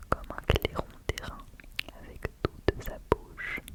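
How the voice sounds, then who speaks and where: A whispering woman over noticeable background noise. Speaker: ASMR creator. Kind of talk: ASMR poetry reading. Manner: whispered, slow, close to the microphone.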